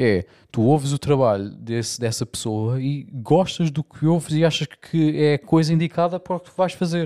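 With hardly any pauses and a moderate pace, a man uses an ordinary speaking voice at a fairly high pitch with ordinary pitch variation, in a very clean recording with a silent background and a dry, close sound with no echo. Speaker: podcast host. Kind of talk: casual chat. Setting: home room used as studio.

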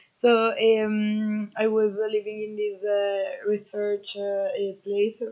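A woman with an Italian accent speaks at a very slow pace. Her intonation is monotone and flat. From northern Italy, Emilia-Romagna. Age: 20s. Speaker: agroforestry volunteer. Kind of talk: interview. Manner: hesitant, many fillers.

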